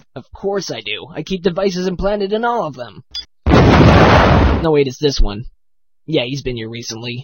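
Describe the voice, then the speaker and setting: A cartoonish character voice at a middle pitch and moderate pace, with long, frequent pauses and sound effects in the background. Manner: deadpan, offhand.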